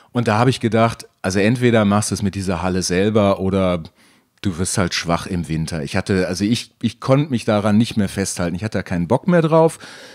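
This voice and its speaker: In a normal speaking voice, a man talks at a fairly quick pace with a fairly low pitch and ordinary pitch variation. The recording is very clean, with a silent background. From Germany, near Dutch border. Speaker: former climbing gym owner. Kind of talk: interview.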